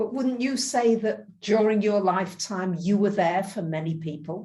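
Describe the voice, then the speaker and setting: A woman speaks at medium pitch in a dark, mellow tone that is somewhat breathy. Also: ordinary pitch variation, moderate pace. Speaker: interviewer. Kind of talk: interview questions.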